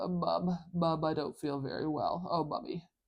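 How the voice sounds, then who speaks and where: A man puts on a nasal character voice at a fairly high pitch, talking at a moderate pace. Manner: illustrative, demonstrating a sound.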